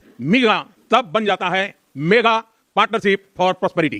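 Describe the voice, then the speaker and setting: In a raised, projected voice, a man speaks with a high pitch and a bright, sharp tone, the sound dry and close with no echo. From India. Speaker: politician, head of government. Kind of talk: formal political speech. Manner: fast, without pauses.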